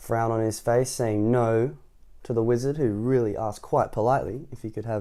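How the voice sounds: Fairly even intonation in a natural reading voice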